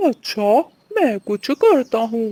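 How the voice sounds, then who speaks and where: The speaker uses a cartoonish character voice pitched fairly high. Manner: bossy, mocking.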